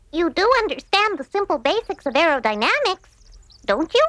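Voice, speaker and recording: An extremely high, cartoonish character voice with very wide pitch swings. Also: moderate pace. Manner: brisk, confident.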